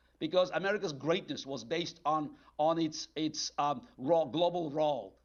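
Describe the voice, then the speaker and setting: Fairly high in pitch, a man speaks with a Russian accent. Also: ordinary pitch variation, moderate pace. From former Soviet Union (Azerbaijan, then Moscow). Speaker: political analyst. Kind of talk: TV interview answering a caller. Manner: halting, many fillers.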